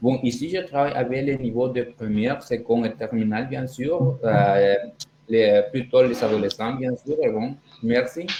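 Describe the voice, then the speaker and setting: Over noticeable background noise, a man talks at a fairly slow pace in a medium pitch with ordinary pitch variation. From El Salvador. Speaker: language teaching assistant. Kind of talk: casual podcast chat. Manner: halting.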